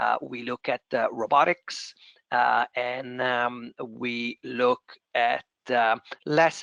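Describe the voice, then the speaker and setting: A man with an Italian accent is recorded with a dry, close sound, no echo and a quiet background. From Italy. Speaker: venture capital investor. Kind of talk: panel discussion. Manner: hesitant with many fillers.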